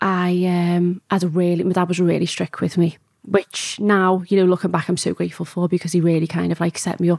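A woman speaks fairly quickly in a Liverpool accent, her pitch fairly low and her intonation flat and monotone. The sound is dry with no echo over a quiet background. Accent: Liverpool (Scouse). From Liverpool, England. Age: 30s. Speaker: strip club owner; podcast guest. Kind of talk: interview. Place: studio. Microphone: studio mic.

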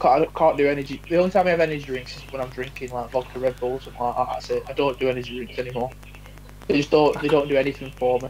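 A man's medium-pitched, slightly mellow voice at a very fast pace, fairly even in intonation, with faint background noise.

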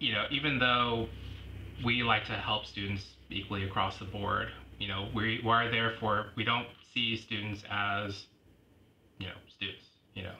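With a Pacific Northwest accent, a man speaks in a fairly low, monotone, flat voice at a fairly slow pace, leaving long, frequent pauses amid audible room echo. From Washington State, Tacoma and Lacey-Olympia area. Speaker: university student finance advisor. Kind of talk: casual interview.

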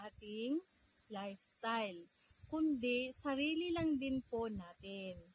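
A woman's intonation rises and falls in a lively way as she talks very slowly. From Davao, Mindanao, Philippines. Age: 40s. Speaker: vlogger and digital marketing seller. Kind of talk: personal testimony vlog.

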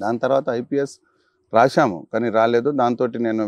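Over a quiet background, a man speaks with fairly even intonation and a dry sound with no echo. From Telangana. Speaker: politician. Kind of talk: interview. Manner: soft-spoken; polite. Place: garden. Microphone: lapel.

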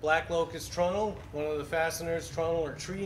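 Over noticeable background noise, a man speaks high-pitched and fairly quickly in a monotone, flat delivery. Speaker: wooden ship restoration worker. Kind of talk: explanatory walkthrough. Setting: outdoors at a boat show. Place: workshop. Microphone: lapel.

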